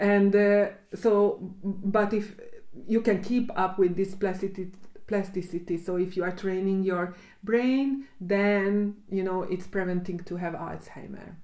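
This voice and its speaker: A woman's dark, mellow, medium-pitched voice with a Hungarian accent, fairly slow and fairly even in intonation, with audible room echo. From Hungary. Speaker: cognitive psychologist. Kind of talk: casual chat. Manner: halting.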